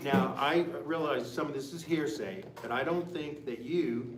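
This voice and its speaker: Speaking at a fairly slow pace, a man has an American accent. Noticeable background noise and audible room echo accompany him. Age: 70s. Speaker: community center board member. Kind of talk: public comment at council meeting. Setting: town council meeting.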